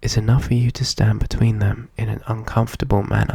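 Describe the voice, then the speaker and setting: Someone whispers softly at a moderate pace over noticeable background noise. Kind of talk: soft-spoken ASMR story reading. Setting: ASMR recording setup. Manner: soft-spoken, whispery.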